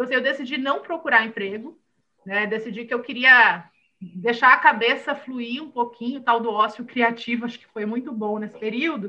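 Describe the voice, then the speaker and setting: A woman's high-pitched voice in a bright, sharp tone, at a moderate pace, with ordinary pitch variation and big swings in loudness. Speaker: entrepreneur and mental health startup founder. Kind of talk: interview conversation.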